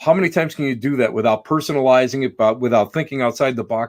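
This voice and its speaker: A man of medium pitch with an American accent, very fast pace, and ordinary pitch variation. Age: 60s. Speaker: psychic medium and paranormal investigator. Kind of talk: casual interview chat. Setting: live online video show.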